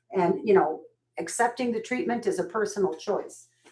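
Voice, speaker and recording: Her pitch makes very wide swings. The woman keeps to a moderate pace. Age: 60s. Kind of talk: live sales stream, casual chat. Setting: live video stream. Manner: warm, chatty.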